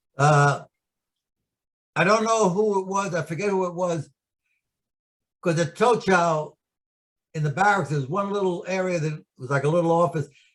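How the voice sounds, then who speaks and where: Speaking at a moderate pace with a New York accent, a man uses a high pitch, ordinary pitch variation and long, frequent pauses. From New York City. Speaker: war veteran. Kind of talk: oral history interview.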